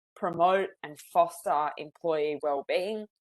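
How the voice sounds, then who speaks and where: A woman with a strong Australian accent, a fairly low pitch and a fairly slow pace, in a dry, close sound with no echo. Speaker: psychologist, webinar presenter. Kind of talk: webinar presentation.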